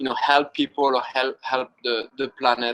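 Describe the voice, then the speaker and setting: A man with a French accent. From France, Brittany. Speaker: wing foil instructor. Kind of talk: interview. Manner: hesitant, many fillers.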